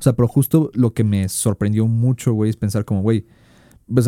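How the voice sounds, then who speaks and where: A man with a Mexican accent talks very fast in a fairly low, dark, mellow voice. His intonation is fairly even, and the sound is dry and close with no echo. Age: 20s. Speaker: communication student, podcast co-host. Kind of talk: casual chat.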